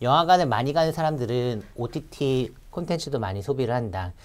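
This man's voice sits at medium pitch. He talks at a moderate pace with lively intonation. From South Korea. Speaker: securities analyst. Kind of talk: market research briefing. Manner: frequent filler hesitations.

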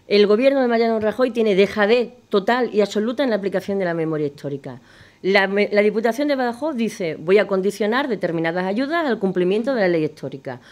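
A woman talks at a very fast pace, her intonation lively. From Extremadura, Spain. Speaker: politician. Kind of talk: political debate. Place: studio. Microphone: studio mic.

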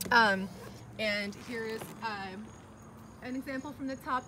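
Against light background noise, a woman talks at a moderate pace with ordinary pitch variation. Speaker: presenter. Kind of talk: casual product walkaround. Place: street. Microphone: phone near.

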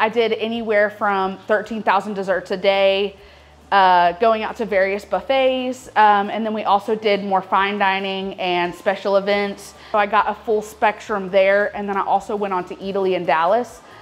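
Keeping a monotone, flat intonation, a woman speaks at a moderate pace with hardly any pauses. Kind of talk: interview answer. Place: shop.

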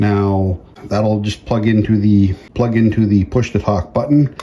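A man speaks at a fairly low pitch and a fairly slow pace. His tone is dark and mellow, with little pitch movement.

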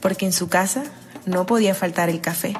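A woman at medium pitch, fairly even in intonation and moderate in pace, with music in the background. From Colombia, Bolívar (Cicuco). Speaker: writer. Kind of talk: personal memoir reading.

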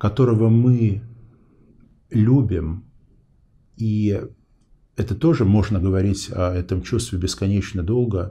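A man with a fairly low pitch and a dark, mellow, somewhat breathy tone, very slow, with ordinary pitch variation and long, frequent pauses. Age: 40s. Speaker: interview show host; interview host. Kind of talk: interview.

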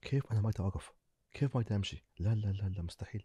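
Against a quiet background with dry, echo-free sound, a man talks at a fairly quick pace in a fairly low pitch, somewhat breathy, with a dark, mellow tone and ordinary pitch variation. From UAE. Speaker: business owner; podcast guest. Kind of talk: casual chat. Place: studio. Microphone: studio mic.

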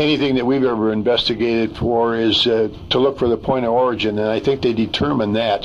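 Fairly quick speech from a man with fairly even intonation. Light background noise sits behind him. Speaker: interviewee. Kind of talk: interview answer. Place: studio.

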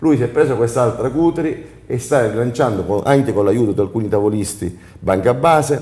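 A man at a moderate pace with ordinary pitch variation, an unremarkable speaking voice. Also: medium pitch for a man, very even loudness. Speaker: entrepreneur. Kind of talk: studio panel discussion. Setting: TV studio.

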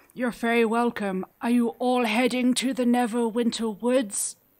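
Putting on a character voice, a woman speaks in a high pitch at a moderate pace, her intonation monotone and flat. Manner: cheerful, kindly, laughing; polite, old-fashioned phrasing.

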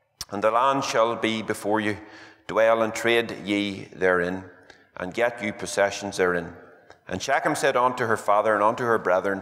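At a moderate pace and a fairly low pitch, a man uses an unremarkable speaking voice over a quiet background. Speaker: preacher. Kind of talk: scripture reading in a sermon. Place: church. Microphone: podium.

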